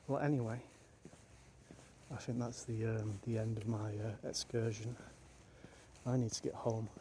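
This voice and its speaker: Quiet and somewhat breathy, a man with a medium-pitched voice and a dark, mellow tone talks at a fairly slow pace with fairly even intonation. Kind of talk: video diary. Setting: outdoors in a cemetery at night. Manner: speaking quietly; hesitant, many fillers.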